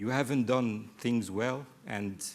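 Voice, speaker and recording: At a fairly slow pace, a man with a French accent speaks at medium pitch. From Mediterranean region. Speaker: development evaluation expert, panelist. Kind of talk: panel discussion. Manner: halting.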